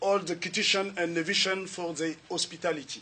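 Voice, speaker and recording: With a Central African French accent, a man speaks at a moderate pace. His pitch is high and his intonation fairly even. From Republic of the Congo. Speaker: lecturer. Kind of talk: lecture. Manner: formal.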